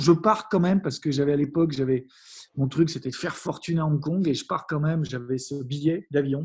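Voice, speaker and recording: Quiet background, with a man at a moderate pace. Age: 40s. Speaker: happiness coach and entrepreneur. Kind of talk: interview. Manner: halting, many fillers and restarts.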